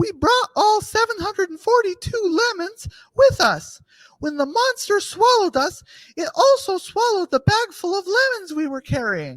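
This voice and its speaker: Squeaky and extremely high in pitch, this put-on character voice stands out. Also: moderate pace. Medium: audio drama. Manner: matter-of-fact.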